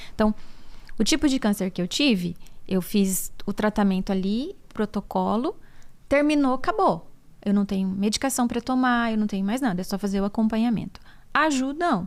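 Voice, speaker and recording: With a plain, everyday voice, a woman talks at a moderate pace and a fairly high pitch. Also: lively intonation. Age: 40s. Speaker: podcast host, physiotherapist and breast cancer survivor. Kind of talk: casual podcast conversation.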